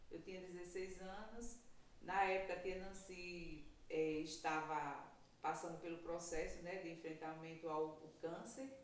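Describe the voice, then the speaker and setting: A woman speaks at a fairly slow pace in a fairly low pitch. Her intonation is fairly even, and audible room echo surrounds her voice. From Brazil, Paraíba coast (Potiguara territory). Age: 50s. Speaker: traditional midwife. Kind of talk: interview testimony.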